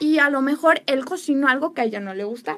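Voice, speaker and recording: Her voice is high and bright, sharp in tone. The woman speaks at a moderate pace with lively intonation. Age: 20s. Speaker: relationship speaker. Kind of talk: talk-show interview.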